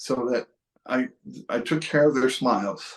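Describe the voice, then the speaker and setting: A man with a Western New York accent, a fairly high pitch and a fairly slow pace. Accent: Western New York (US Inland North). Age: 60s. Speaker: photographer. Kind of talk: casual tutorial and personal story. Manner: halting, many fillers and restarts.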